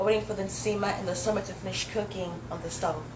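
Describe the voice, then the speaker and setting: A woman talks at a very fast pace with medium pitch and ordinary pitch variation. Audible room echo and noticeable background noise fill the recording. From Zambia, then US. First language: Swahili. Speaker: spoken word poet. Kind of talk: poetry performance. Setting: dinner event, small space.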